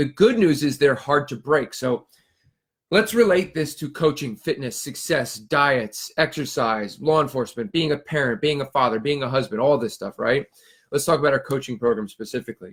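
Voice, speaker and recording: A fairly high-pitched man talks with lively intonation and a somewhat breathy voice. The recording is very clean, with a silent background. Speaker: fitness and nutrition coach. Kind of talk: live stream talk. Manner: fast.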